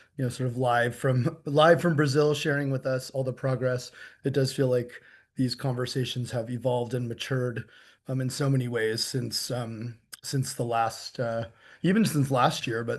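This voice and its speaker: Against a quiet background, a man speaks with fairly even intonation and a somewhat breathy voice. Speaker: tourism sustainability speaker. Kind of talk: conference presentation. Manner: halting, many fillers.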